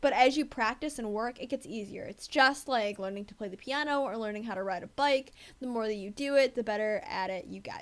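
A woman with a normal speaking voice and an American accent talks at a fairly high pitch with ordinary pitch variation and hardly any pauses, in a very clean recording with a silent background. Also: big swings in loudness. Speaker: debate coach. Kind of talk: tutorial.

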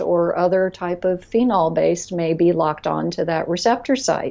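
At a moderate pace, a woman speaks with fairly low pitch. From Florida, US. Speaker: nutrition and health consultant; guest. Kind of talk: podcast interview. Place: office. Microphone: earbuds.

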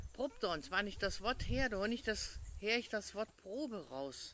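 Speaking very slowly in a northern Hessian accent, a woman with a fairly high voice and vocal fry is heard in a dry recording with no echo. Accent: northern Hessian Schwalm dialect. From Hesse, Germany. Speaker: pastor. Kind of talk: short devotional in dialect. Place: garden. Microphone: phone near.

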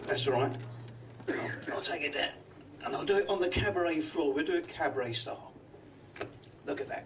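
A man with a Cockney accent at a fairly quick pace, over noticeable background noise. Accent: London Cockney. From London. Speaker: comedy magician. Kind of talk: stand-up. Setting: stage with audience. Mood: jovial, teasing. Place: stage.

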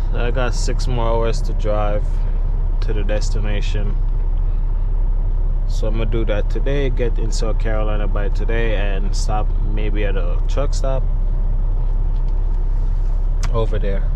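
A fairly slow pace with long, frequent pauses, a dry sound with no echo, and noticeable background noise. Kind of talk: casual vlog chat. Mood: relaxed, content. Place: car. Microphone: phone near.

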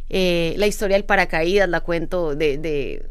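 The woman's intonation is lively, and the background is quiet. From Colombia, Medellín. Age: 40s. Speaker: international speaker and author; speaker. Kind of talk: casual interview. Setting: studio, live on Instagram. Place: studio. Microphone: studio mic.

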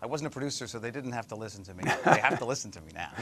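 Noticeable background noise can be heard while a man talks. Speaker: actor guest promoting a show. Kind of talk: interview answer. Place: studio. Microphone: lapel.

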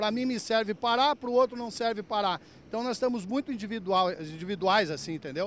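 A man talks at a very fast pace in a high pitch with ordinary pitch variation. The sound is dry, with no echo. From Rio Grande do Sul, Brazil (Lajeado); Rio Grande do Sul, Brazil. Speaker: truck driver. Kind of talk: casual interview. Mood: earnest complaint, frustrated. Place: street. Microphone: handheld.

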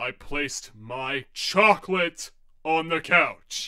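A man puts on a character voice, speaking fairly high for a man at a very slow pace. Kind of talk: fan comic dub. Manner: grumpy, sarcastic.

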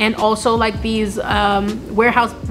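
Music plays clearly behind a woman's voice. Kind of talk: casual advice vlog. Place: factory.

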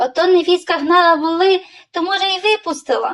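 A woman does a squeaky, put-on character voice at an extremely high pitch. She talks at a fairly quick pace with fairly even intonation. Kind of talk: bedtime story. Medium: read story.

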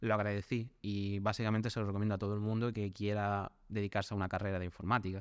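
A man at a fairly low pitch and a very fast pace, over a quiet background. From Spain, small town. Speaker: web developer. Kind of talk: interview.

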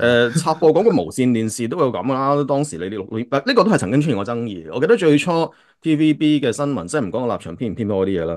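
Hardly pausing at all, a man speaks at a very fast pace with very wide pitch swings against a quiet background. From Hong Kong. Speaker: podcast host. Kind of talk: casual chat. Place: home room. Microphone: video call.

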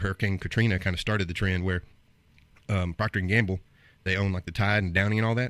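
Fast and fairly bright in tone, a man talks low in pitch with fairly even intonation.

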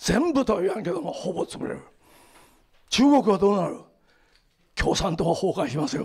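A man's high-pitched voice at a moderate pace, with very wide pitch swings, long, frequent pauses and a quiet background. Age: 70s. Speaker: lecturer on the Bible and world affairs; lecturer on the Bible. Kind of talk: lecture. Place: hall. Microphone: handheld.

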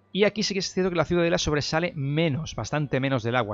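Music plays in the background as a man talks. His pace is very fast, with ordinary pitch variation. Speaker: gaming YouTuber. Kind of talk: gameplay news commentary. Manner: casual with fillers and repetitions.

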